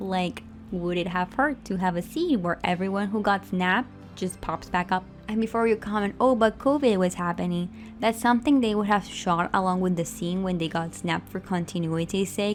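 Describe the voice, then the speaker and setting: Against background music, a woman talks in a medium pitch, varying it in an ordinary way. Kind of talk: fan commentary rant over speedpaint. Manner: fast.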